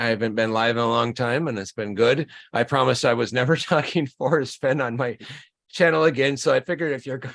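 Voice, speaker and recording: A man with an American accent, medium pitch and a very fast pace. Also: ordinary pitch variation. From northern Minnesota. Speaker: YouTube channel host. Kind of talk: casual chat.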